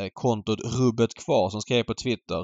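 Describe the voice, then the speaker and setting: A man talks at a moderate pace with a medium pitch. He has a plain, everyday voice. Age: 30s. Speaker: horse racing podcast host. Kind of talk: casual chat.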